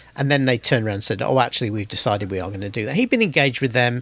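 A man at a medium pitch talks with lively intonation. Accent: British. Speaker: podcast host. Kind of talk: casual chat.

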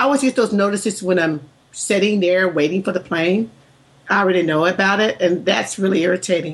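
A woman with an American accent, medium pitch, ordinary pitch variation and a fairly quick pace. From US South. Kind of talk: casual chat.

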